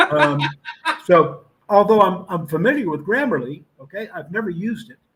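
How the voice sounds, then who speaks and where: A man speaks with an American accent at a moderate pace. His pitch varies in an ordinary way. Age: 70s. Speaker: retired army officer and author. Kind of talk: interview.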